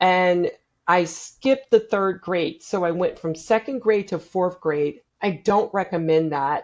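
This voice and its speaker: In an unremarkable speaking voice, a woman talks at a fairly slow pace and medium pitch, with ordinary pitch variation. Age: 60s. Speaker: neuroscience speaker and builder. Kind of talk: casual chat.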